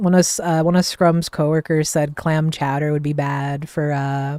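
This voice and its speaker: A woman's very deep, low voice in an American accent, monotone and flat, at a fairly slow pace. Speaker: streamer. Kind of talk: casual chat. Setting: live stream.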